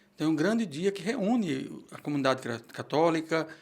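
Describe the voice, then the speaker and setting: At a moderate pace, a man speaks with a fairly high voice. The recording is very clean and the background silent. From Brazil, Pernambuco. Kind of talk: interview.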